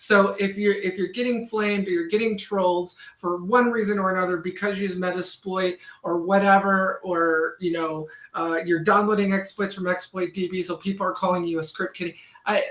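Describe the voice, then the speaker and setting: This woman has a plain, everyday voice, speaking at a medium pitch with fairly even intonation and a fairly quick pace. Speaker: cybersecurity instructor and livestream host. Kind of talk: live-streamed tutorial with chat. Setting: livestream. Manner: casual, many filler words.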